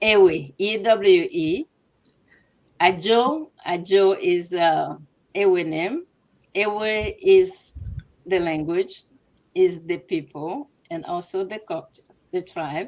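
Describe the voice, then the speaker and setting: A woman with a Ghanaian accent and a medium pitch speaks at a very slow pace, leaving long, frequent pauses as her loudness swings widely. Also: ordinary pitch variation. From Togo. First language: Ewe. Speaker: business owner. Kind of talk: interview. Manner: halting.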